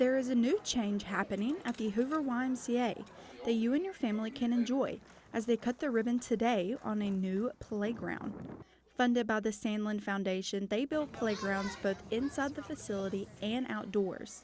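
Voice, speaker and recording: Her pitch is fairly high, and she has an ordinary speaking voice. The woman's pace is moderate, and her pitch varies in an ordinary way. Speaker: television news reporter. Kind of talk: broadcast news reporter delivery.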